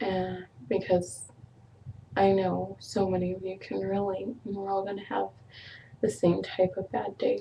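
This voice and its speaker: A woman of medium pitch talks at a fairly slow pace with long, frequent pauses, her somewhat breathy voice having a dark, mellow tone and ordinary pitch variation. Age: 20s. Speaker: vlogger. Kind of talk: personal vlog, emotional confession. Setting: webcam video. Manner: halting, many fillers.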